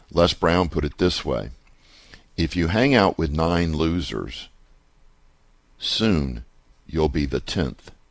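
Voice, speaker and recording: A man speaks very slowly, with long, frequent pauses. His very deep, low voice carries vocal fry and lively intonation. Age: 60s. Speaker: radio host and real estate investor. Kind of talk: radio show monologue. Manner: conversational.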